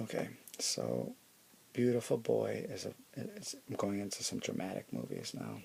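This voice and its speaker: A soft-spoken man talks at a moderate pace. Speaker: ASMR creator. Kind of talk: ASMR show-and-tell.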